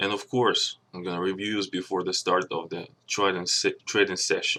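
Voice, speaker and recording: A man with a non-native accent speaks at a moderate pace. The recording is very clean with a silent background. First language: not English. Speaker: stock trader and channel owner. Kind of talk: channel introduction and trading explanation. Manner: halting, with fillers.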